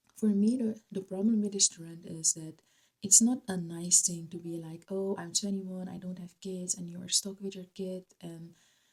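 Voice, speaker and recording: A woman with a Dutch accent talks somewhat breathily at a medium pitch and fairly slow pace, her intonation fairly even but her loudness swinging widely. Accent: non-native English, Dutch. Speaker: YouTuber. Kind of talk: vlog commentary. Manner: hesitant, with fillers.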